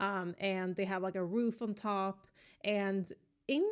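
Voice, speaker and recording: On a very clean recording with a silent background, a woman talks at a very slow pace in a monotone, flat intonation. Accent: Swedish. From Sweden. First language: Swedish. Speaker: gaming YouTuber, Sims builder. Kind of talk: casual voice-over commentary on a build. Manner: relaxed, many fillers.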